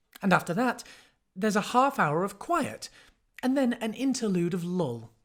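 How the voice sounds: It is a natural reading voice over a quiet background.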